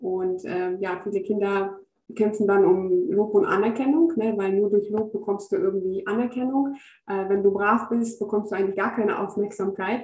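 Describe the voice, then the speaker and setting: A woman talks at medium pitch. Her intonation stays fairly even. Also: moderate pace. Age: 30s. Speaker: educator and spirituality coach. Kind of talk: casual interview. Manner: halting, many filler sounds.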